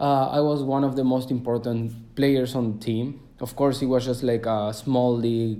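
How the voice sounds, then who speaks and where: In a Spanish accent, the speaker talks with a dark, mellow tone and monotone, flat intonation, hardly any pauses, and audible room echo. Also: man, medium pitch for a man, moderate pace. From Argentina, Cordoba. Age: 20s. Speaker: travel podcaster. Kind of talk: casual monologue. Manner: halting, many fillers.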